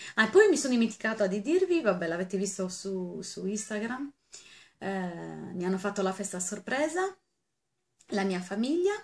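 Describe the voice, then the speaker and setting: A woman's somewhat breathy voice, animated in tone, with ordinary pitch variation. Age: 40s. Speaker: beauty vlogger. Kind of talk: casual vlog. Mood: cheerful, birthday thanks. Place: home room. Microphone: webcam.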